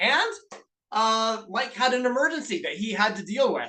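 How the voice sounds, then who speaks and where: A man with a Canadian accent speaks at a moderate pace in a raised, projected voice, his tone animated, bright and sharp, with lively intonation. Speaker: business coach. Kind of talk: webinar presentation. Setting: video call.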